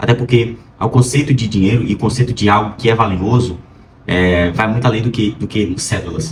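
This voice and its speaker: A man at medium pitch, with ordinary pitch variation and a moderate pace. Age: 20s. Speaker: vlogger, pre-med student. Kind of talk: casual vlog monologue. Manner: hesitant, many fillers.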